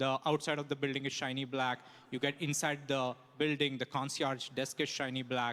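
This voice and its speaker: A man with a non-native accent in a bright, sharp tone, monotone and flat, at a moderate pace. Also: fairly high pitch for a man. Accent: foreign. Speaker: stand-up comedian. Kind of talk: stand-up. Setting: stage with audience.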